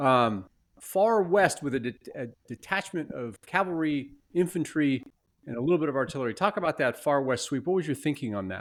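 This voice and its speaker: A man in an ordinary speaking voice with an American accent talks at a fairly quick pace, with a fairly high pitch and lively intonation. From United States. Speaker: podcast host and game umpire. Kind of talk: interview.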